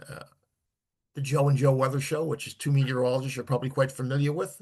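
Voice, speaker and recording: Somewhat breathy and fairly high in pitch, a man speaks with a New Jersey accent. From New Jersey, Elizabeth. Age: 70s. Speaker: author and weather enthusiast. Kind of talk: interview.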